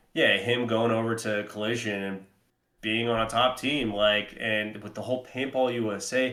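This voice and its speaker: A man with an ordinary speaking voice, medium pitch and moderate pace. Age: 30s. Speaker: paintball podcast co-host and player. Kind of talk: casual podcast chat.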